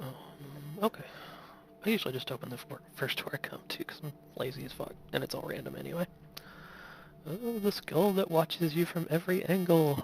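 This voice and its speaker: A soft-spoken voice at a fairly quick pace, broken by long, frequent pauses. Noticeable background noise sits behind it. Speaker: game streamer. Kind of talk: gameplay commentary. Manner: casual. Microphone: quiet voice volume, already turned all the way up.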